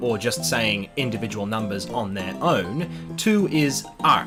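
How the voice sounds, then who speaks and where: With music in the background, a man at medium pitch talks at a fairly slow pace with lively intonation. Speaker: YouTuber learning Chinese. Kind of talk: casual talk to camera.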